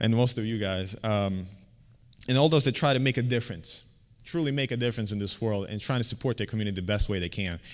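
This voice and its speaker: A man with a Bosnian accent talks very fast at a medium pitch with ordinary pitch variation, on a very clean recording with a silent background. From Bosnia and Herzegovina, then Virginia from age 14. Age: 30s. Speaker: community organizer presenting a scholarship. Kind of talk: conference presentation. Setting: stage with audience. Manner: halting, many fillers and repeats.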